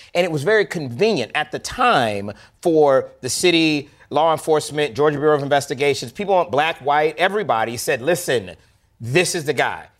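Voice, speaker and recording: Speaking with an American accent at a fairly quick pace, a man uses a normal speaking voice with fairly high pitch and lively intonation in a very clean recording with a silent background. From US South, Florida. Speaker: filmmaker and producer. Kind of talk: interview.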